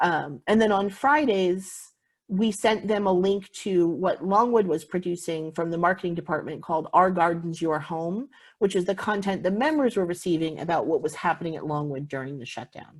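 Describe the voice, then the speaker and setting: Over a silent background in a very clean recording, a woman with a fairly low pitch speaks with ordinary pitch variation. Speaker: visitor center manager. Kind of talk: conference presentation. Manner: fast.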